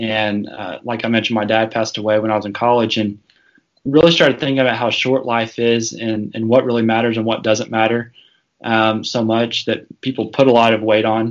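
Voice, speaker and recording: Fairly quick, monotone, flat speech with an American accent. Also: man, medium pitch for a man. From US South, northwest Arkansas. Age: 30s. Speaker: law student, father. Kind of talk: interview conversation. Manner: hesitant with fillers.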